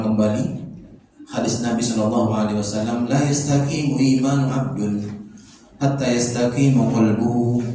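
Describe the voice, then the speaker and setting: A man's medium-pitched voice, with ordinary pitch variation and a moderate pace, comes through noticeable background noise and audible room echo. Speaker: Islamic preacher. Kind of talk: religious lecture. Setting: prayer room with audience.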